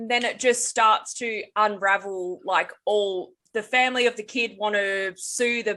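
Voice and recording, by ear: The background is quiet. Someone is reading aloud in a natural voice.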